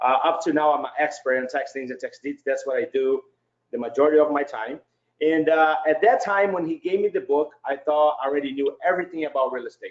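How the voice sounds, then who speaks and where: A man with a Brazilian Portuguese accent talks at a fairly quick pace. His pitch is fairly high, with ordinary variation. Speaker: real estate investor. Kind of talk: webinar presentation.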